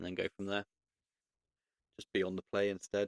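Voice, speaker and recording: Quiet and fairly low in pitch, a man speaks at a moderate pace in a monotone, flat intonation, with a dry, close sound and no echo. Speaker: card game video creator. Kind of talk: gameplay commentary. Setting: home recording at night. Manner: casual; quiet, keeping voice down. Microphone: voice gets quieter on recording.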